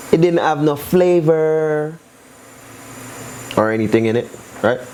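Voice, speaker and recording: A fairly slow delivery, ordinary pitch variation, and noticeable noise in the background. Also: man, fairly high pitch for a man. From New York, Brooklyn. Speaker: cooking channel host. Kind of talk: cooking tutorial, casual chat. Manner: casual, chatty.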